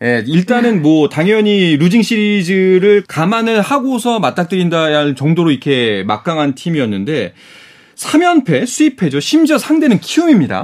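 Speaking at a moderate pace, a man has a high voice. His pitch swings very widely. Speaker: radio sports announcer. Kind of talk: sports news reading and panel hosting. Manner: formal.

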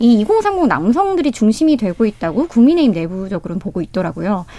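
The woman's pitch rises and falls very widely, captured in a very clean recording against total silence. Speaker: newspaper reporter. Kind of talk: radio panel debate. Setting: radio studio.

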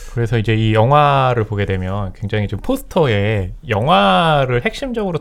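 With ordinary pitch variation, a man talks at a moderate pace in a plain, everyday voice. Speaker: film critic. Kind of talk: radio film review discussion. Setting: radio studio.

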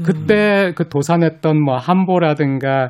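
This is a man with an unremarkable speaking voice. His pitch is fairly high and varies in an ordinary way. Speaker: professor. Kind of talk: radio interview.

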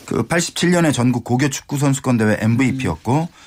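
This man talks at a very slow pace. His pitch is medium, with ordinary variation. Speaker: sports journalist. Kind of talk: sports commentary chat.

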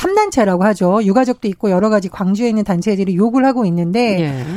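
Lively intonation from a woman with a fairly high pitch and a dark, mellow tone. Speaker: political commentator. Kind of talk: radio panel discussion. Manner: raised voice at times.

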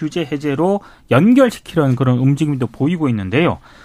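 A man speaks here. His pace is very fast. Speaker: journalist. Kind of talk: radio news briefing. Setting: studio.

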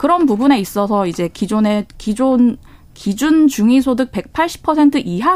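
A woman is speaking. Her pace is fairly slow. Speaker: journalist. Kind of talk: radio news discussion. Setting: radio studio.

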